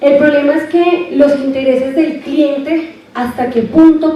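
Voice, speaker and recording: The pace is fairly slow. Noticeable background noise and audible room echo are present. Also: woman. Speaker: university lecturer. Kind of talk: lecture. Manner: soft-spoken.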